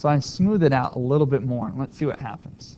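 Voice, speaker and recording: A man is mumbling. His pitch varies in an ordinary way. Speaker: math teacher. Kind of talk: tutorial.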